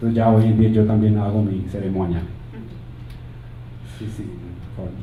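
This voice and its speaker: Over noticeable background noise and audible room echo, a man talks fairly quickly in a fairly low pitch with a monotone, flat intonation. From United States, Colombian family. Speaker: physician and conference speaker. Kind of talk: conference talk. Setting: stage with audience, slides. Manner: halting, with repeated words.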